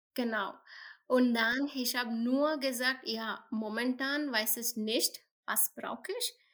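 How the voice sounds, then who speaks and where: Very slow and high-pitched, a woman speaks in a bright, sharp tone with fairly even intonation, on a very clean recording with a silent background. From India. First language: not German; learning German for about a year (speaking German). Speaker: tech NGO employee with a rare health condition. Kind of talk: interview. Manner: halting, many fillers in a new language.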